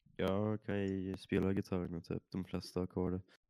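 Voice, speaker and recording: Very deep and low, this man's dark, mellow voice stays monotone and flat at a moderate pace. The sound is dry and close, without echo. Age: 20s. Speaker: podcast co-host. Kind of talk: casual chat. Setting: online call. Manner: subdued.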